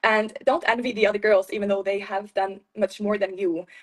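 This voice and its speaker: Fairly high in pitch, a woman speaks with an Icelandic accent. Her pace is moderate. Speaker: beauty pageant winner. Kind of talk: interview.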